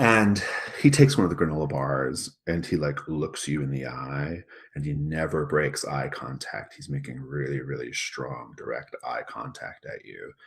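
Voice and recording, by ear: There is a slightly husky edge to this voice, which moves at a moderate pace. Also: man, extremely low pitch for a man, ordinary pitch variation.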